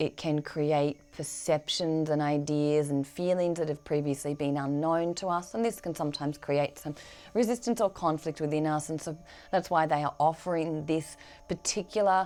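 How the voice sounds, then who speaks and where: On a very clean recording with a silent background, a woman speaks with an Australian accent. Her very deep, low pitch shows ordinary variation at a moderate pace. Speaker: spiritual medium. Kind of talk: channelled spiritual guidance. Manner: hesitant, many fillers.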